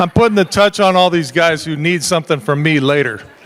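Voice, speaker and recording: A man with an American accent, high-pitched for a man, at a moderate pace with ordinary pitch variation, over noticeable background noise. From southern Nevada, Las Vegas. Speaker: charity auctioneer. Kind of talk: live auction calling. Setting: fundraising dinner with audience.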